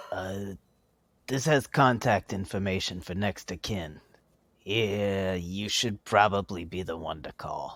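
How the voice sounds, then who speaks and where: A man puts on a character voice with a fairly low pitch. He speaks at a fairly slow pace. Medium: audio drama. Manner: casual.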